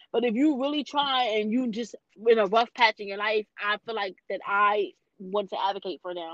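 Recorded dry and close with no echo, a woman talks in an ordinary speaking voice, her fairly high pitch showing ordinary variation. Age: 30s. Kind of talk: casual interview.

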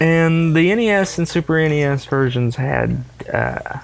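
Over noticeable background noise, a man in a Southern US accent speaks very slowly with ordinary pitch variation. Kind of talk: casual chat.

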